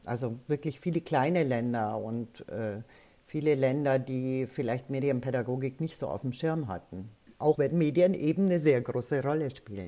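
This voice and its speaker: A woman speaks with a very deep, low pitch and a dark, mellow tone. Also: ordinary pitch variation, moderate pace. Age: 70s. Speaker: media educator. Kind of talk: interview.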